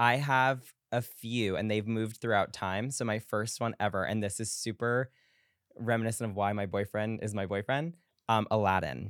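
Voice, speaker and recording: In an ordinary speaking voice with an American accent, a man talks at a moderate pace, his fairly low pitch showing ordinary pitch variation. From US Northeast, Long Island. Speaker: pop culture commentator. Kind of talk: casual chat.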